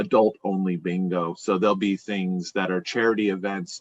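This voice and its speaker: Here is a man with a plain, everyday voice, pitched fairly low. He speaks at a moderate pace, and the sound is dry and close with no echo. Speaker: bingo caller and business executive. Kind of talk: podcast interview answer. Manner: conversational, explanatory.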